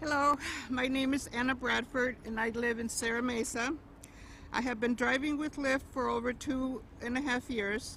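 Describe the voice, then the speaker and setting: At a moderate pace, a woman speaks in a high, monotone voice with flat intonation. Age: 60s. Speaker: rideshare driver. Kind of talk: prepared speech at a rally.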